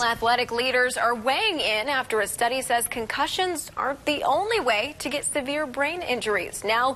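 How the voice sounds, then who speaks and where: A woman speaks at a moderate pace in a high, raised, projected voice with lively intonation over noticeable background noise. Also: hardly any pauses. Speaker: news anchor. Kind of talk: TV news anchor read.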